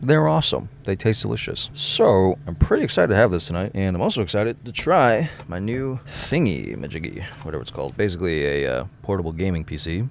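A man with a very deep, low pitch talks at a fairly quick pace with very wide pitch swings. The sound is dry with no echo, over light background noise. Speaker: van life vlogger. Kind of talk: casual vlog chat. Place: car.

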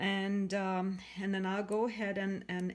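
A woman at a moderate pace against a quiet background. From Canada. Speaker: craft demonstrator. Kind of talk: tutorial. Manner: hesitant, many fillers.

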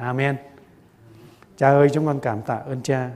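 Speaking at a fairly slow pace, a man uses a medium pitch. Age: 60s. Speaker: pastor. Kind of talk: sermon. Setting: church.

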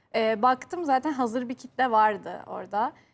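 The woman's voice is high in pitch. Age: 20s. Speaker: YouTuber and university student; YouTuber. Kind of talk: TV talk show interview. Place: studio. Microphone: lapel.

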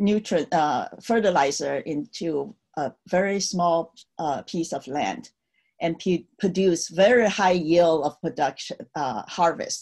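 A woman with a Chinese accent, fairly low in pitch, at a very slow pace with ordinary pitch variation, against a quiet background. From China, Tianjin; China. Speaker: Cultural Revolution survivor, speaker. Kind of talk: virtual talk, personal history. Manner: hesitant, many fillers. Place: home room. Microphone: webcam.

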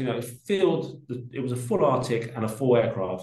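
A somewhat breathy voice in a London accent comes at a moderate pace with audible room echo. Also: man. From South London (Peckham). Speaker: art logistics company director. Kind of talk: casual interview chat.

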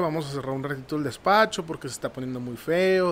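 With a northern Mexican accent, a man speaks over light background noise. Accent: northern Mexican Spanish (Sonora). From Nogales, Sonora, Mexico; Sonora, Mexico. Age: 30s. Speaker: marketing professional; podcast guest. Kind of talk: casual interview. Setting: studio. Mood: calm, reflective storytelling. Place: studio. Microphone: studio mic.

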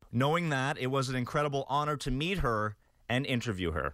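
With music in the background, a man talks at a fairly quick pace with lively intonation. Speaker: news reporter. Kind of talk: local TV news report.

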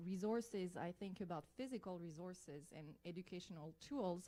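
In a French accent, a woman speaks at a medium pitch and a moderate pace. Her tone is dark and mellow, with ordinary pitch variation. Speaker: biology lecturer and parent. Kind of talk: public comment at school board meeting. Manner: halting, with hesitations.

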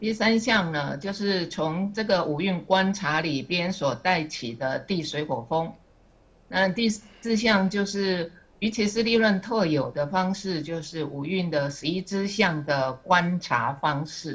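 This woman has a fairly low pitch and lively intonation. Her voice is somewhat breathy and her pace very slow. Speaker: student sharing study. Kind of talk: class presentation. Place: classroom. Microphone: podium.

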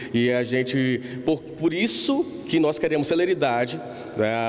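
A man speaks at a fairly slow pace. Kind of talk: interview answer. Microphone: handheld.

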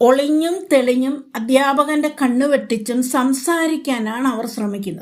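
High pitch from a woman, varying in an ordinary way. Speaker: retired teacher. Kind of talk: motivational talk.

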